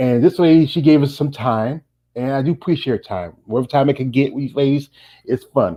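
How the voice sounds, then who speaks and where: Moving fairly quickly, this voice shows ordinary variation in pitch. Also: man, fairly high pitch for a man. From North Carolina. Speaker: interviewer. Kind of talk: interview. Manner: a little fast.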